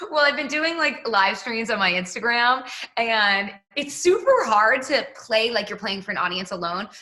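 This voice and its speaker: Noticeable background noise sits behind a woman with an American accent who speaks at a moderate pace in a fairly high voice with lively intonation. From Massachusetts, Boston. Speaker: pop singer. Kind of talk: casual interview.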